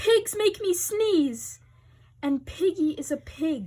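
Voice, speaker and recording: Squeaky and extremely high, this put-on character voice moves at a very slow pace. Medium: read story. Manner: anxious, overdramatic.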